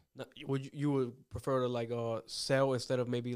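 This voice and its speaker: The speaker has an American accent and monotone, flat intonation. The pace is fairly quick. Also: man. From Northern Virginia, US. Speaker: podcast host. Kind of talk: casual interview.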